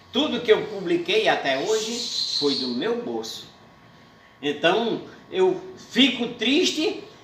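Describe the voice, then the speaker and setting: With a northeastern Brazilian accent, a man speaks very slowly in a high voice with very wide pitch swings and long, frequent pauses over noticeable background noise. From Paraíba, Northeast Brazil. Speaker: poet, cordel writer and declaimer. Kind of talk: interview answer.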